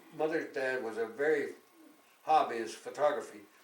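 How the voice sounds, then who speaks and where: In a room with audible echo, a man speaks at a moderate pace in a fairly high pitch with ordinary pitch variation. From Canada. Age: 90s. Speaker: war veteran. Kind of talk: casual chat.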